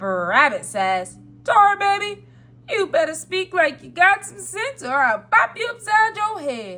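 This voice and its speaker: Putting on a character voice, a woman speaks at a fairly slow pace in an extremely high pitch. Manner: dramatic, animated storytelling; threatening, scolding.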